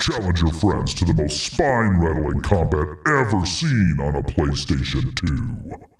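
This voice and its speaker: A man performs in a put-on character voice. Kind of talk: movie-trailer voice. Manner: dramatic, promotional.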